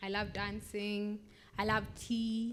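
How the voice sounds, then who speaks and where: A woman's voice with audible room echo. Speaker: poet. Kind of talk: interview. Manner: loud.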